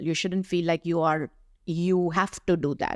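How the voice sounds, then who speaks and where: A woman with an ordinary speaking voice and fairly low pitch talks at a fairly slow pace in a very clean recording with a silent background and a dry, close sound with no echo. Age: 60s. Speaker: doctor and health advocate. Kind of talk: podcast interview.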